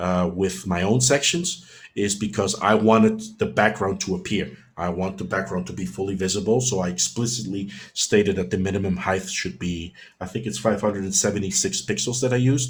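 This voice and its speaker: A somewhat breathy man's voice, fairly low in pitch, at a fairly quick pace with ordinary pitch variation. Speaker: web developer presenting a tutorial webinar. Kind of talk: webinar Q&A. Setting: online webinar. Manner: fast; animated.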